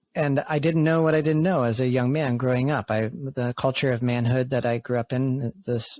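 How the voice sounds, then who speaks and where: In a normal speaking voice with an American accent, the speaker keeps a moderate pace with hardly any pauses. Intonation stays fairly even and loudness very even. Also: man, medium pitch for a man. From New England, US (outside Boston). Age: 30s. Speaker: podcast host and men's community facilitator. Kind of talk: casual podcast conversation.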